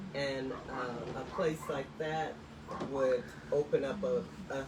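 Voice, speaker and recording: A woman's very deep, low voice with ordinary pitch variation, audible room echo and noticeable background noise. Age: 60s. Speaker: museum curator and folk artist. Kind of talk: live-streamed studio visit interview. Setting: live video stream.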